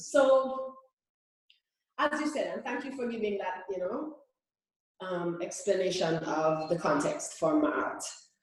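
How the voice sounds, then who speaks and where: Her fairly high voice swings very widely in pitch as the woman speaks at a fairly slow pace, with long, frequent pauses and audible room echo. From Jamaica. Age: 30s. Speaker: reggae singer. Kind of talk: interview.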